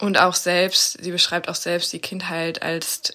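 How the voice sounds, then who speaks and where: A woman speaks at a fairly slow pace in a fairly low pitch. Her tone is bright and sharp. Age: 20s. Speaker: student, book recommender. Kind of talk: prerecorded scripted book presentation.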